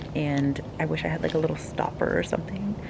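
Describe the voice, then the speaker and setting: A woman's very deep, low-pitched voice over noticeable background noise. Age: 20s. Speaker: lifestyle vlogger. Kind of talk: casual vlog talk to camera. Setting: outdoors at night. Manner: casual, filler-heavy; soft-spoken, trying to be quiet.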